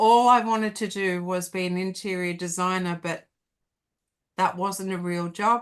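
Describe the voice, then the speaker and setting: Speaking at a moderate pace with an Australian accent, a woman keeps a medium pitch and fairly even intonation against a quiet background. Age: 60s. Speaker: hypnotherapist and life coach. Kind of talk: casual interview chat.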